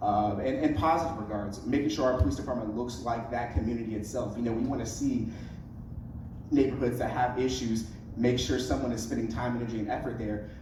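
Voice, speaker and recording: Speaking at a fairly quick pace and medium pitch with fairly even intonation, a man with an American accent is heard with audible room echo and noticeable background noise. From US Midwest, Decatur, Illinois. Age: 20s. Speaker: city council candidate. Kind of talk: candidate forum answer.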